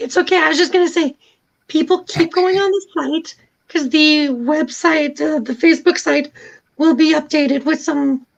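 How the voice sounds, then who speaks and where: Squeaky and high-pitched, a woman talks at a moderate pace with ordinary pitch variation. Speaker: YouTuber and cancer survivor. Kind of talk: casual chat.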